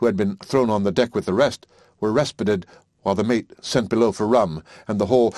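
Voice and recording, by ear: This clip features someone reading aloud in a natural voice.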